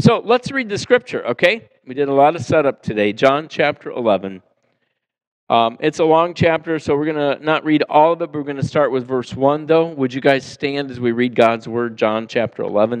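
This man has an unremarkable speaking voice with a fairly high pitch. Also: moderate pace, quiet background. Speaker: pastor. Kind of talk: sermon. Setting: church. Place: church.

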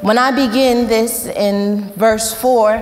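A woman speaks with fairly even intonation while faint music plays in the background. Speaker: preacher. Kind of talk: sermon. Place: church. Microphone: lapel.

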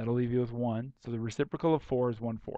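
Fairly quick, a man talks at a medium pitch with fairly even intonation. The tone is dark and mellow. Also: dry, close sound with no echo. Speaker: math teacher. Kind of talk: tutorial. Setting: recorded video lesson. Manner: casual, conversational.

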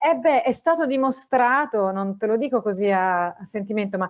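Against a quiet background, a woman with a fairly high pitch speaks at a moderate pace with ordinary pitch variation. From Italy. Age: 40s. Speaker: science communicator and journalist; journalist. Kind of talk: interview. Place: home room. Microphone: earbuds.

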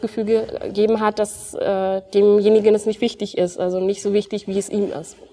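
A woman at a moderate pace, in monotone, flat intonation. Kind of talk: interview answer. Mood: warm, smiling. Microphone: lapel.

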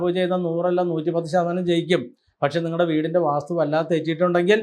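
A man talks with an unremarkable speaking voice. His pitch is fairly high. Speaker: astrologer and temple spokesperson. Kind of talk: promotional religious talk to camera.

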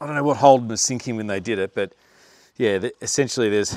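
Ordinary pitch variation over a quiet background, with a dry sound and no echo. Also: man. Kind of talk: tutorial. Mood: casual, mildly exasperated. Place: garage. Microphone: phone near.

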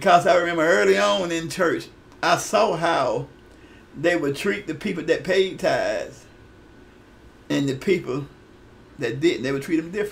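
This man's voice is high-pitched, with lively intonation and a moderate pace. He leaves long, frequent pauses. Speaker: retired pastor and online preacher; pastor. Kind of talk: video sermon / teaching talk. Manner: halting, repeats words. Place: office. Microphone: webcam.

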